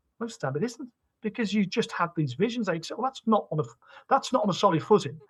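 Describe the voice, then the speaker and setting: With a British accent, a man talks at a very fast pace, his pitch swinging very widely. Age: 50s. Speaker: company CEO. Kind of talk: podcast interview. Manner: animated, repetitive.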